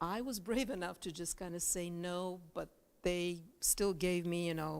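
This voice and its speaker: Spoken with a Bulgarian accent and ordinary pitch variation, the clip is a very clean recording with a silent background. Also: woman. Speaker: journalist and news anchor. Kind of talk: talk to students. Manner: casual, with many fillers.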